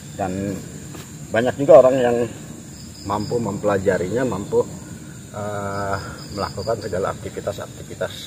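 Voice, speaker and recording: Against noticeable background noise, a man with a slight Jakarta accent speaks at a moderate pace in a fairly low pitch with fairly even intonation. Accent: Betawi accent, slight. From Jakarta, Betawi. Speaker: paranormal explorer, video host. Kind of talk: casual spiritual talk to camera. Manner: hesitant, many fillers.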